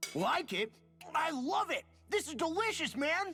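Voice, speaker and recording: Someone speaks in a put-on character voice. Faint music plays in the background. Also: moderate pace. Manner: enthusiastic, talking with mouth full.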